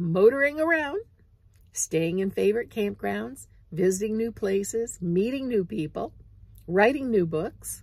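The voice moves through very wide pitch swings and is somewhat breathy. The sound is dry with no echo, over a quiet background. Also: woman. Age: 70s. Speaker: vlogger, full-time RV nomad. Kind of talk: casual vlog monologue. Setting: outdoors, parked in an RV in southern Mississippi. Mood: reflective, relaxed. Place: car. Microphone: phone near.

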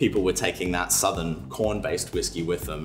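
Clear music plays in the background as a man speaks at a very deep, low pitch. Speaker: guest. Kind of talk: interview answer. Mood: relaxed, friendly, smiling. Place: bar.

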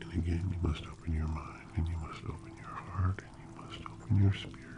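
A man talks while loud background noise fills the recording. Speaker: ASMR creator. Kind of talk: ASMR guided relaxation and affirmations. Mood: warm, reassuring. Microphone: studio mic.

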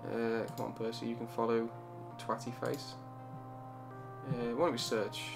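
Music plays behind a man at medium pitch. He speaks at a moderate pace. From Birmingham, England. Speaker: gamer. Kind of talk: casual let's play commentary. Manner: mumbling. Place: home room. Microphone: studio mic.

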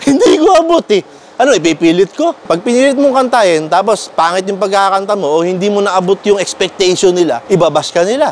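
Over light background noise, a man talks at a fairly quick pace with a high pitch and lively intonation. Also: dry sound with no echo. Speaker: vlogger. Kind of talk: casual vlog chat. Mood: mock-sad, joking complaint. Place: street. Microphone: lapel.

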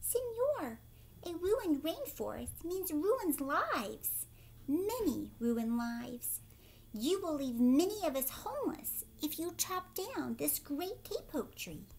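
Over light background noise, a woman does a squeaky, high-pitched put-on character voice at a fairly slow pace.

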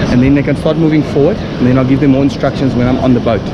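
Ordinary pitch variation from a man, with loud background noise. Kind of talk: casual vlog explanation. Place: beach. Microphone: phone near.

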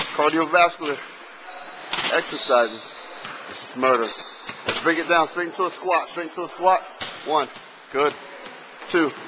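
A man speaks at a moderate pace with fairly even intonation and long, frequent pauses. Noticeable background noise sits behind him. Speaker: fitness instructor. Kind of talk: workout coaching, counting reps. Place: hall.

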